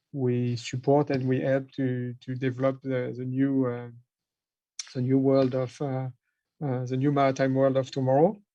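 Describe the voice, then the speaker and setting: A man with a French accent speaks at a moderate pace and medium pitch. His tone is dark and mellow, and his intonation monotone and flat. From France. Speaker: maritime industry representative. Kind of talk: panel discussion. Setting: online conference. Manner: halting.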